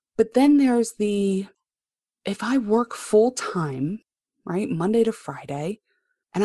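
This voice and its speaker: A woman with an American accent, medium pitch and lively intonation, at a fairly slow pace against a quiet background. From Baltimore, Maryland. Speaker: marketing copywriter. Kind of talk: podcast interview.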